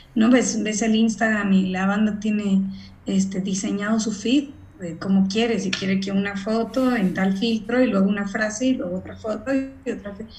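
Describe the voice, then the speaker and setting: Fairly slow speech in a woman's fairly high voice, set against noticeable background noise and audible room echo. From Mexico. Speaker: voice and acting coach. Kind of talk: casual interview.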